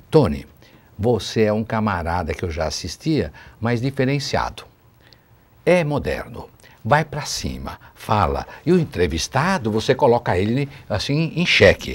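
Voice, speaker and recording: Vocal fry runs through a man's fairly slow speech, which moves in very wide pitch swings. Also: medium pitch for a man. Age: 60s. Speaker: city councillor, politician. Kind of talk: TV interview. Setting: TV studio, live.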